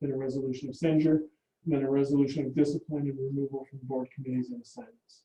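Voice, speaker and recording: Speaking at a very fast pace, a man delivers flat, monotone intonation in a dark, mellow tone. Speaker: presenter at a public board meeting. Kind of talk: meeting presentation.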